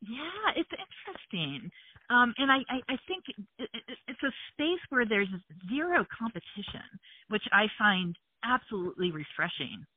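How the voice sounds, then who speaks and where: Her fairly high voice swings very widely in pitch as this woman speaks at a moderate pace with an American accent. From US Midwest, Hamilton, Ohio near Cincinnati. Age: 50s. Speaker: journalist. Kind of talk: interview.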